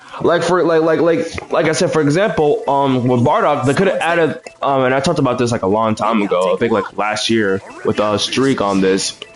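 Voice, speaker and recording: Noticeable background noise sits under a voice that moves at a fairly quick pace, with very wide pitch swings yet very even loudness. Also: man, fairly high pitch for a man. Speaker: gaming livestreamer. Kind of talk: casual gameplay commentary. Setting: livestream. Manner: halting, many fillers.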